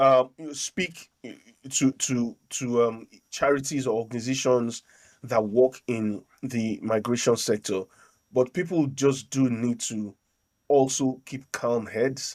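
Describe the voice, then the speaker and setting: A man with a Nigerian accent at a medium pitch, very slow pace and fairly even intonation, dry and close with no echo, on a very clean recording with a silent background. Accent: Nigerian accent, worn with pride. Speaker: podcast host and local councillor. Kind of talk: casual political discussion. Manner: hesitant, many repeated words.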